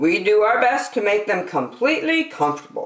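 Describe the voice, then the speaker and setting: A put-on character voice full of very wide pitch swings. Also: woman. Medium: read story.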